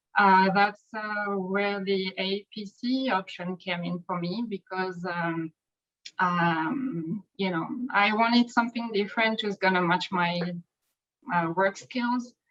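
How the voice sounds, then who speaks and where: In a French accent, a woman talks at a very slow pace. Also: medium pitch for a woman, ordinary pitch variation. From France. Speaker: medical coder. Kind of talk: interview.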